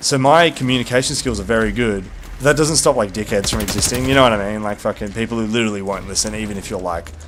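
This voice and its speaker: A man with an Australian accent, fairly low-pitched, at a very fast pace. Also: ordinary pitch variation. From Tasmania, Australia. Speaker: gaming streamer. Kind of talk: casual chat. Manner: animated.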